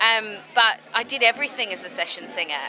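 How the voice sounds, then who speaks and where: Over music in the background, someone with an Australian accent speaks at a fairly quick pace with ordinary pitch variation. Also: woman. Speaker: burlesque singer. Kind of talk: interview. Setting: press party. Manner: casual, chatty.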